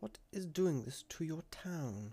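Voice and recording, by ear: In a put-on character voice, a man speaks slowly with a fairly high pitch, lively intonation, a dark, mellow tone and a slightly husky edge.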